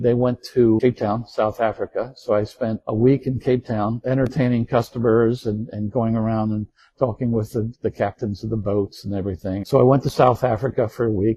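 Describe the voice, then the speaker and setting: A man with an American accent talks with hardly any pauses. His voice is somewhat breathy and his intonation flat and monotone. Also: medium pitch for a man, moderate pace. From Baltimore, US Mid-Atlantic. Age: 70s. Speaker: retired navy officer, war veteran. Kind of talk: interview, personal reminiscence. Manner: relaxed, conversational.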